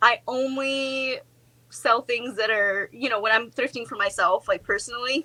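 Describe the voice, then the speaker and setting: A woman with a Russian accent speaks at a high pitch in a bright, sharp tone. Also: ordinary pitch variation, moderate pace. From Alaska, Russian-speaking family. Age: 20s. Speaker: homesteader and part-time reseller. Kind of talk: casual chat.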